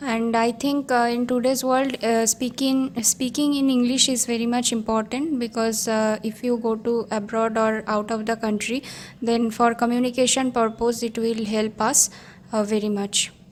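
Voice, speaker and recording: A woman's fairly high voice, flat and monotone, at a very even loudness. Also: moderate pace. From India, Hooghly, West Bengal. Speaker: English learner. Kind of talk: group discussion practice. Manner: hesitant, many fillers.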